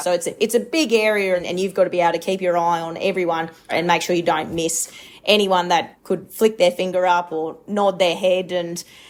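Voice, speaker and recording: Speaking at a fairly quick pace, a woman with a rural Australian accent keeps a medium pitch and fairly even intonation. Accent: broad rural Australian. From rural Queensland, Australia. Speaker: livestock agent and auctioneer. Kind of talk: interview.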